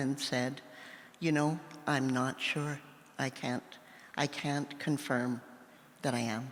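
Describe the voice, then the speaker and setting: The speaker has a Western Canadian accent. The pace is fairly slow. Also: woman. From Saskatchewan, Canada. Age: 60s. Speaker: novelist. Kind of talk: live interview. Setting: stage with audience.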